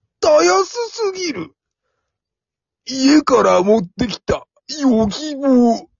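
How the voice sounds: A put-on character voice moves slowly with big pitch swings. It has vocal fry and a slightly husky edge.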